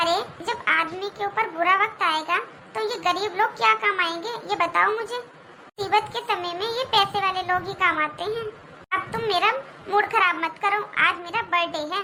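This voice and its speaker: A woman's cartoonish character voice at an extremely high pitch and moderate pace, with clear background noise. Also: ordinary pitch variation. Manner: sharp, mocking, self-satisfied.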